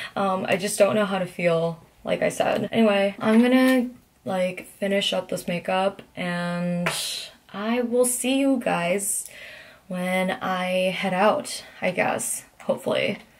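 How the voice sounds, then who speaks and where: Her pace is very slow and her voice somewhat breathy. The woman's pitch sits in the medium range, with ordinary pitch variation. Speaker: vlogger. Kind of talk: casual vlog monologue.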